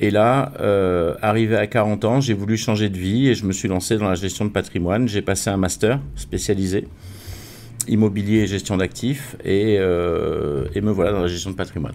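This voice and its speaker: A man with an unremarkable speaking voice talks at a moderate pace. His pitch is fairly low, with ordinary variation. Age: 60s. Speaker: wealth management consultant. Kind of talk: interview.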